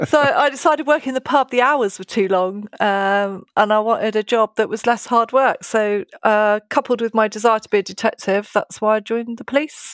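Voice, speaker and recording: Hardly pausing, the speaker with a British accent shows ordinary pitch variation and big swings in loudness, in a very clean recording with a silent background and a dry, close sound with no echo. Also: woman, fairly high pitch for a woman, moderate pace. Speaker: police detective. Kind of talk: interview.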